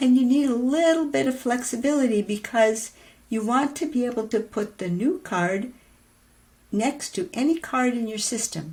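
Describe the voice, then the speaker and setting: In a very clean recording with a silent background, a woman speaks at a high pitch with lively intonation. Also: moderate pace. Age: 70s. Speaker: podcast host, writing teacher. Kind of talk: casual tutorial monologue. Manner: conversational, with fillers and hesitations.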